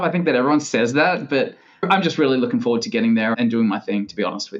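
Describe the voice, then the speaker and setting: Talking very fast with an American accent, a man makes very wide pitch swings. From Australia. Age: 40s. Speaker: tennis club director. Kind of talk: podcast interview. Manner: animated.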